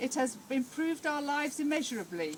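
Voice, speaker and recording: The speaker's fairly quick delivery and ordinary pitch variation come through noticeable background noise. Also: woman. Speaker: speaker at a village inauguration. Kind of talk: public speech. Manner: loud.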